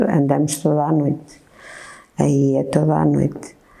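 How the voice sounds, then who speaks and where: The pace is fairly slow. Room echo can be heard. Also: woman. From northern Portugal, Ul (Oliveira de Azeméis). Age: 60s. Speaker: baker. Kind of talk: interview testimony. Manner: hesitant, many fillers.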